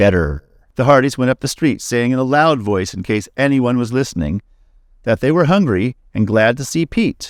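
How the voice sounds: The intonation is lively in a natural reading voice.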